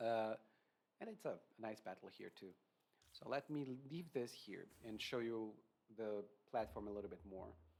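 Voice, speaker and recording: With a non-native accent, a man speaks at a medium pitch with ordinary pitch variation and long, frequent pauses. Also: moderate pace. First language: not English. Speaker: video game reviewer. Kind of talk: casual gameplay review. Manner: hesitant with fillers.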